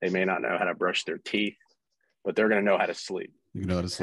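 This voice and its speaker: A man is speaking. The sound is dry with no echo, over a quiet background. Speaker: stay-at-home dad; podcast guest. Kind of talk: interview conversation. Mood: relaxed, anecdotal. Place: home room. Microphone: webcam.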